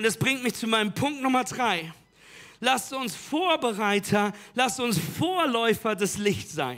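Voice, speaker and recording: This voice is raised and projected, with a bright, sharp tone and lively intonation. The delivery sounds animated and energetic at a fairly slow pace. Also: man. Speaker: preacher. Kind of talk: sermon. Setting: church with live audience. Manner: animated, loud, energetic call-and-response; urgent, direct appeals to the audience.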